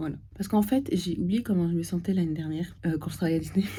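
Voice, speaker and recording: This woman's voice sits fairly low, with a dark, mellow tone, somewhat breathy quality and ordinary pitch variation. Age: 20s. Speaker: theme park waitress. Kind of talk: casual vlog talk to camera.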